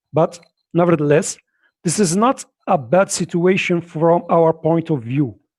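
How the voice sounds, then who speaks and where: In a strong non-native accent, a man speaks fairly slowly at a high pitch, with ordinary pitch variation and very even loudness, on a very clean, dry, close recording with a silent background and no echo. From Morocco. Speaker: political activist. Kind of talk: conference speech. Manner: halting.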